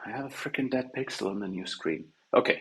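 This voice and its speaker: A man talks with a non-native accent. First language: not English. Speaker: game developer live streamer. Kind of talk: live coding stream chat. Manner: casual rambling, animated.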